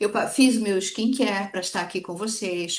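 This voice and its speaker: Ordinary pitch variation and a fairly slow pace from a woman at medium pitch. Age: 60s. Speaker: direct sales consultant. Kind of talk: sales training talk. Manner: animated.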